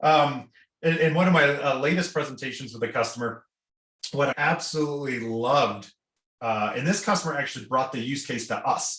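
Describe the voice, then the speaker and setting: Here a man speaks in a fairly high voice. His pace is fairly quick, with ordinary pitch variation. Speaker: company founder and executive chairman. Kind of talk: interview. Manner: fast; animated.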